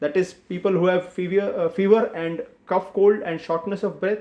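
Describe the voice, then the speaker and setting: A man's high-pitched voice with an Indian accent, dark, mellow tone and moderate pace. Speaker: doctor. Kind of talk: health awareness explainer. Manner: simple, plain explanation.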